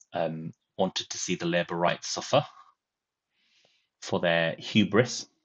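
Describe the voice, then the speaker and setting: Ordinary pitch variation in a northern English accent. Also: man. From northern England. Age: 40s. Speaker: political commentator, former lecturer. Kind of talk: live stream commentary. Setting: live stream. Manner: hesitant, many fillers.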